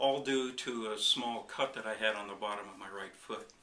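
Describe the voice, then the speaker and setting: A man talks at a fairly low pitch with monotone, flat intonation. Both noticeable background noise and audible room echo come through. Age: 60s. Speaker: chiropractic patient. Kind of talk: testimony. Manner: halting, with fillers.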